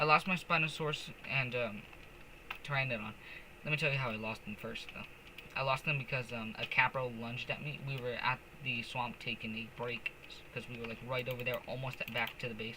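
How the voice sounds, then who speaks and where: Against noticeable background noise, a man at medium pitch talks at a fairly quick pace with fairly even intonation. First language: not English. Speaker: gaming streamer. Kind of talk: casual gameplay commentary. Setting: live stream. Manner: casual, hesitant with fillers.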